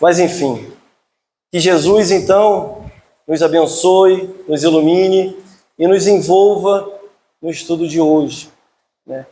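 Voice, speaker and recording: A man with a Rio de Janeiro accent speaks loudly and very slowly, leaving long, frequent pauses. His high-pitched voice has a dark, mellow tone, with audible room echo. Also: fairly even intonation. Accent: carioca (Rio de Janeiro). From Rio de Janeiro, Brazil. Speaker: spiritist lecturer. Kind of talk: religious lecture. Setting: hall with audience.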